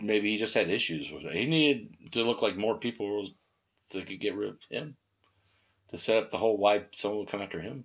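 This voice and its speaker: The speaker has a plain, everyday voice with ordinary pitch variation and big swings in loudness. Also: man, fairly low pitch for a man. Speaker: podcast co-host. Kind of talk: casual chat.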